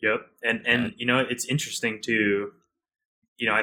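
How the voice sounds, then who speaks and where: The man's tone is bright and sharp, and his pace is moderate. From Hawaii. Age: young. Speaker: chef. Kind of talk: interview. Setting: remote recording.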